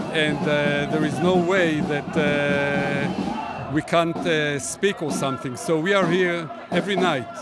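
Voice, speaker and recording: A man's fairly high voice at a very slow pace, with ordinary pitch variation, hardly any pauses, audible room echo and noticeable background noise. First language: Hebrew. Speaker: protester. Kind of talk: street interview. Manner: halting.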